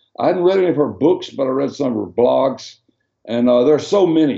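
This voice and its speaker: This man speaks with a Southern US accent and a dark, mellow tone. His pitch varies in an ordinary way. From Arkansas, US South (Hot Springs). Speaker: former pastor and missionary. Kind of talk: interview. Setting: video call.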